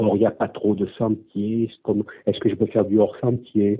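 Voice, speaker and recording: At a very slow pace, a man speaks in a fairly low voice. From southwest France, western Gironde. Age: 50s. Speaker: hiker, course participant. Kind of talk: interview. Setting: audio interview. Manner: halting, many hesitations.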